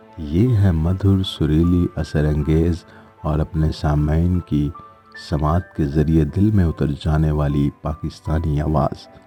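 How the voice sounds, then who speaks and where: Music plays behind a man with a very deep, low pitch. His loudness stays very even and his intonation fairly even. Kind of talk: documentary narration.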